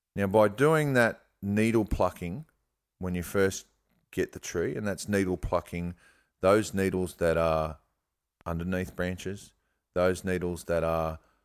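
In a very clean recording with a silent background, someone with an Australian accent speaks at a fairly slow pace. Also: man. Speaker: bonsai grower and teacher. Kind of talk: casual interview.

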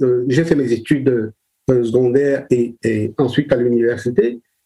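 A man speaks at a very slow pace. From Cameroon, Douala. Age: 60s. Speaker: children's book illustrator and author. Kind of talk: interview. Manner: halting, many repetitions.

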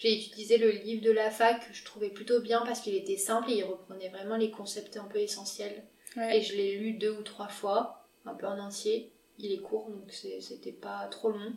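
Over noticeable background noise, a woman talks at a moderate pace in a fairly high, monotone, flat voice with big swings in loudness. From France, Lyon. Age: 20s. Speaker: medical resident. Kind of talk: interview.

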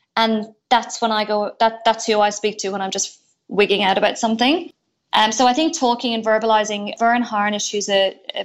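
With an Irish accent, a woman talks at a fairly quick pace in a fairly high pitch with fairly even intonation. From Ireland. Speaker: entrepreneur. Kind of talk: interview.

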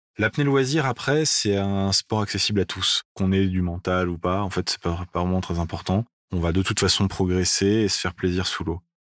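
A man speaks at a moderate pace in a very deep, low pitch with ordinary pitch variation. The recording is very clean, with a silent background and a dry, close sound with no echo. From France. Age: 30s. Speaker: professional freediver. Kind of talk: interview testimony.

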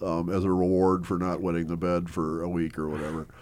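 A man's dark, mellow voice with an Upper Midwest accent, on a very clean recording with a silent background. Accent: Upper Midwest American. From US Midwest, Milwaukee area, Wisconsin. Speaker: former extremist turned author and speaker. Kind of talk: interview conversation.

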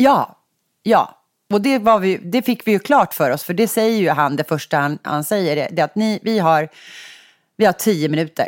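Recorded very cleanly against a silent background, a woman speaks at medium pitch and a moderate pace with lively intonation, the sound dry and close with no echo. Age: 40s. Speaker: podcast host. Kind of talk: casual chat.

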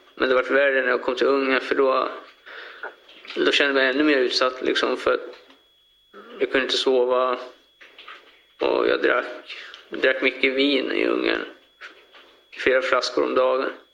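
At a moderate pace, a man talks with long, frequent pauses. Noticeable background noise and audible room echo fill the recording. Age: 20s. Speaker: murder defendant. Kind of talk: courtroom testimony. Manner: halting.

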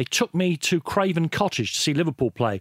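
A high-pitched man with a London accent at a fairly quick pace, very wide pitch swings, and a very clean recording with a silent background. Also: dry, close sound with no echo. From London (Islington), of Irish background. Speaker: football broadcaster and journalist. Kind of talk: casual interview. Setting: studio.

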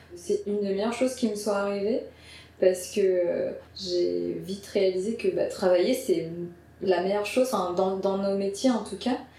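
A woman speaks at a moderate pace and medium pitch with fairly even intonation. Both audible room echo and noticeable background noise are present. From Paris suburbs, France. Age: 30s. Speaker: video editor. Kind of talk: casual interview. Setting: editing studio.

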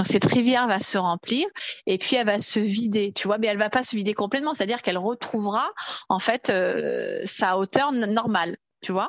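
This unremarkable speaking voice keeps a moderate pace, its pitch varying in an ordinary way. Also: woman, fairly high pitch for a woman, dry, close sound with no echo. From Paris region, France. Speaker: Nordic walking coach. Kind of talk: casual interview.

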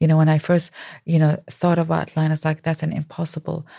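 A woman speaks in a very deep, low voice that is somewhat breathy, with a dark, mellow tone. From Iraq, Baghdad. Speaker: humanitarian activist and author. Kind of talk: interview conversation. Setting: studio.

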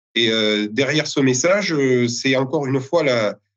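At a fairly slow pace, a man talks in a plain, everyday voice. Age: 30s. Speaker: winegrower and village mayor. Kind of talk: interview.

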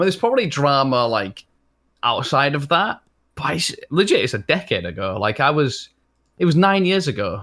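A man with a strong Leeds accent talks at a moderate pace, his fairly high voice carrying vocal fry. His pitch swings very widely on a very clean recording with a silent background. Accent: strong Leeds accent, drops letters. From northern England, Leeds. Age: 20s. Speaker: streamer. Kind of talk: casual chat.

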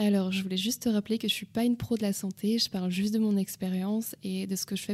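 In a very clean recording with a silent background, a woman speaks at a medium pitch with a dark, mellow tone. Her intonation is monotone and flat, and her pace is moderate. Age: 20s. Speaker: podcast host, interior design worker. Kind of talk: casual solo talk with advice.

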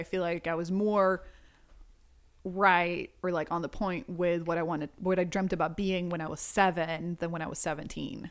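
Here is a woman with an unremarkable speaking voice, fairly low in pitch, at a moderate pace. Her intonation is fairly even, and the recording is very clean with a silent background. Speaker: inventor and YouTuber. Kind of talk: casual interview chat. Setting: recording in hosts' home.

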